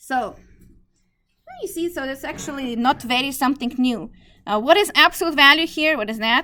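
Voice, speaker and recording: A woman with a non-native accent speaks at a moderate pace in a high, raised, projected voice with a bright, sharp tone. Her loudness swings widely, and she pauses often and at length. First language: not English. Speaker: math teacher. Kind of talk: lecture. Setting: classroom.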